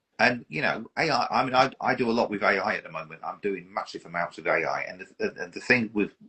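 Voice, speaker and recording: With an English accent, a man at medium pitch talks at a very fast pace, with hardly any pauses and big swings in loudness. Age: 50s. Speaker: model aircraft collector. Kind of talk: casual chat.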